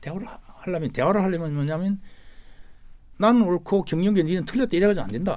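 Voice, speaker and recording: A man's high-pitched voice with a dark, mellow tone, broken by long, frequent pauses. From South Korea, Gyeongnam (Hamyang). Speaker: labor leader, government commission chair. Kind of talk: radio interview.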